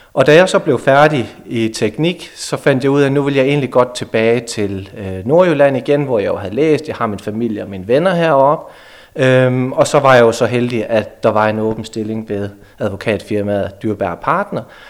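This is an unremarkable speaking voice with lively intonation. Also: man, medium pitch for a man, moderate pace. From Denmark, near Aarhus. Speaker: lawyer. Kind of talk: radio interview.

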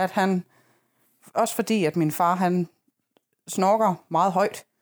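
The recording is very clean, with a silent background. On it, a woman speaks at a very slow pace. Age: 30s. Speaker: podcast co-host. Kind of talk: casual chat.

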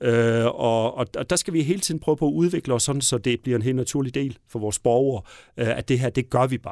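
This is a very clean recording with a silent background and a dry, close sound with no echo. A man talks at a moderate pace and medium pitch with ordinary pitch variation. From Southern Jutland, Denmark. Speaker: mayor and politician. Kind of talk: interview. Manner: halting, many fillers.

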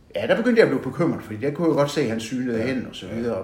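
A man's lively intonation amid audible room echo. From Southern Jutland, Denmark (Vojens). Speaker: retired bank manager. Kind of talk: interview about life story. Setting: at home.

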